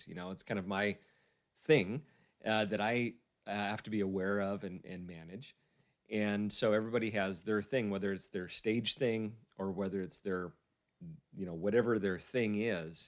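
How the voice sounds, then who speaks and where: Fairly low pitch from a man at a moderate pace, long, frequent pauses, a very clean recording with a silent background. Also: fairly even intonation. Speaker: interview host. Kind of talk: interview questions. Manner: tends to repeat words.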